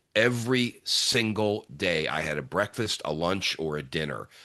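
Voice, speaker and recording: An animated, bright, sharp tone with ordinary pitch variation, set against a quiet background. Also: man. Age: 60s. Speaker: sales speaker and leadership trainer. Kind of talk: podcast interview.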